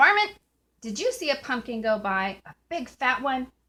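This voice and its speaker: A woman puts on a croaky character voice, high in pitch, at a moderate pace. The recording is very clean, with a silent background. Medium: read story. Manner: impatient, blustering.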